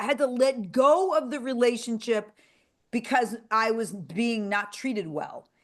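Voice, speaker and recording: A woman talks in an animated tone at a moderate pace. Her pitch is high. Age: 60s. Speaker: podcast host. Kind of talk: casual chat.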